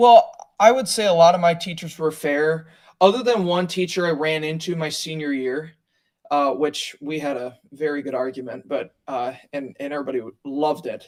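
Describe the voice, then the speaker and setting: Talking at a moderate pace with an American accent, a man has an unremarkable speaking voice, a fairly high pitch, ordinary pitch variation and big swings in loudness. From US Midwest (Wisconsin, Milwaukee area). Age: 20s. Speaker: political candidate. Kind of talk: interview.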